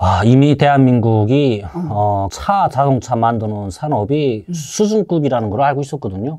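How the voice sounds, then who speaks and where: With a slight North Korean accent, a man speaks in a dark, mellow tone with very wide pitch swings and hardly any pauses against a quiet background. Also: moderate pace. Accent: mild North Korean (Hwanghae). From North Korea, Haeju, Hwanghae; Hwanghae, North Korea. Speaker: North Korean defector, former fisherman; interview guest. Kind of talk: casual interview. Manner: halting, many fillers. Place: studio. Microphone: lapel.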